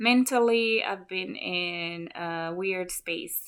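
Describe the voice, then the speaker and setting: In a very clean recording over a silent background, a woman speaks with lively intonation. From Malawi. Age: 40s. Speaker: vlogger, nurse. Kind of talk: casual vlog monologue.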